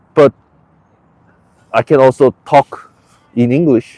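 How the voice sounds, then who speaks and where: A man with a Korean accent speaks at a medium pitch with fairly even intonation, in a dry, close sound with no echo. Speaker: live streamer. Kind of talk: casual live stream monologue. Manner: halting, many false starts.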